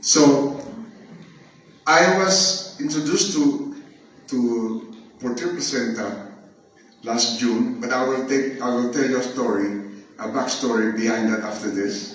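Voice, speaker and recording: Over noticeable background noise, a man with a medium pitch speaks at a fairly slow pace with long, frequent pauses. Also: lively intonation. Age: 70s. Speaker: chemist and nurse. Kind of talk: testimonial talk to an audience.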